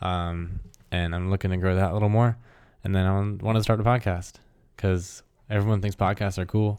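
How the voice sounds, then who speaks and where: A man speaks at a fairly quick pace. His pitch sits fairly low. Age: 20s. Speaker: podcast co-host. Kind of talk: casual chat. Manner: animated.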